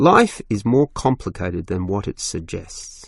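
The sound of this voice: A man puts on a character voice at a fairly low pitch, with vocal fry and big pitch swings. He speaks fairly slowly in a very clean recording with a silent background.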